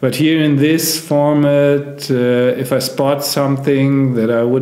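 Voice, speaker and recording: Audible room echo surrounds a speaker with a non-native accent. The pace is fairly slow and the intonation fairly even. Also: man. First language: not English. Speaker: backgammon player and streamer. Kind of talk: live game commentary. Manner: hesitant, many fillers.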